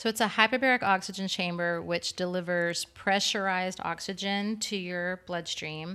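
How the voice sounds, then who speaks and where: Woman with a Texan accent, medium pitch, bright and sharp tone, fairly even intonation, moderate pace with hardly any pauses. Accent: Texan American. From Texas. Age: 40s. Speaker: fitness business owner and trainer. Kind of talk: casual interview.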